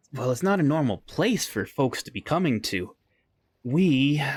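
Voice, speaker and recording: On a very clean recording with a silent background, a man does a put-on character voice at a fairly high pitch and a moderate pace. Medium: actual play. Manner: hesitant, polite.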